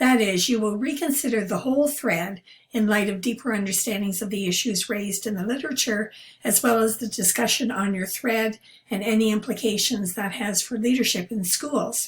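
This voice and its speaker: Somewhat breathy, a woman speaks at a moderate pace in a fairly high pitch with ordinary pitch variation. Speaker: university instructor. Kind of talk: lecture.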